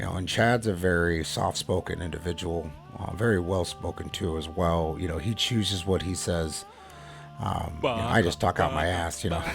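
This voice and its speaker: Over music in the background, a man speaks at a moderate pace. His voice is very deep and low, with ordinary pitch variation. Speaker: podcast host. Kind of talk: casual monologue. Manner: loud.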